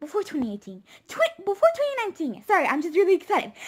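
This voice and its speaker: The voice is squeaky, with very wide pitch swings. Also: woman. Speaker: YouTuber. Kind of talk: casual vlog.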